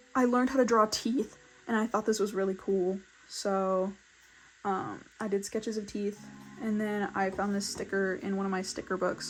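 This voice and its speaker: A woman talks at a medium pitch. Music plays in the background. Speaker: artist YouTuber. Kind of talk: casual sketchbook tour chat. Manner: fast; animated.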